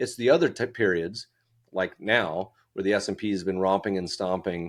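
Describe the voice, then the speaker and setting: A man's very deep, low voice with fairly even intonation, a moderate pace and a quiet background. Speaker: investment fund founder and podcast host. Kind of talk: interview conversation.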